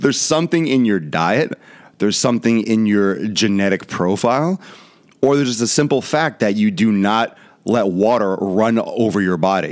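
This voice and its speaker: A man with lively intonation at a moderate pace, over a quiet background. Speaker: fitness vlogger. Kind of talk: casual commentary show. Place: studio. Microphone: studio mic.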